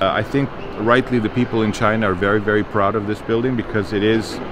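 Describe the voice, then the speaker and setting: The speech moves at a fairly quick pace. The sound is dry with no echo, but there is noticeable background noise. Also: man. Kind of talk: explanatory tour talk. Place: hall. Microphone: lapel.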